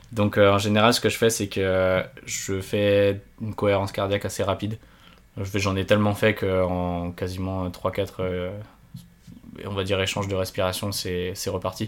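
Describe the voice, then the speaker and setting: Fairly low in pitch, a man speaks in a monotone, flat intonation at a fairly slow pace, with long, frequent pauses. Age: 20s. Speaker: paraglider and engineering student. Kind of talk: interview. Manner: halting.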